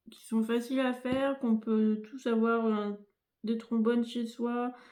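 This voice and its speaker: At a fairly slow pace, a woman with a fairly high pitch speaks in a monotone, flat intonation, her loudness swinging widely. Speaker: crafting youtuber. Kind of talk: tutorial. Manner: soft-spoken; hesitant, many fillers. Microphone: no dedicated microphone, may sound quiet.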